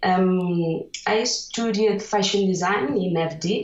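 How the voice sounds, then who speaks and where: A woman speaks with a Catalan accent and a fairly even intonation. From Catalonia, Spain. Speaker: illustrator. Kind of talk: interview. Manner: halting, many fillers.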